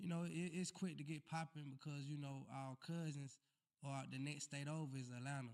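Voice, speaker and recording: Pitched fairly high, a man talks at a moderate pace with fairly even intonation. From US South, Montgomery, Alabama. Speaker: music artist. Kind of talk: casual interview chat. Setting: live podcast stream.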